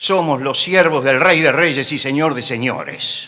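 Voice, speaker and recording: Talking at a very slow pace, a man uses a fairly high pitch. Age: 70s. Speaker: pastor. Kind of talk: sermon. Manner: loud; impassioned.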